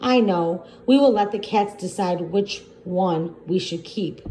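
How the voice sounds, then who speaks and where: A woman uses a put-on character voice at medium pitch. She speaks at a fairly slow pace. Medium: read story.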